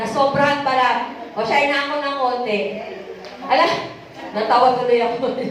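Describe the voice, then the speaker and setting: A woman speaks loudly at a fairly quick pace, with a high pitch, ordinary pitch variation and long, frequent pauses. Audible room echo and noticeable background noise are present. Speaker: preacher. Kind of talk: sermon.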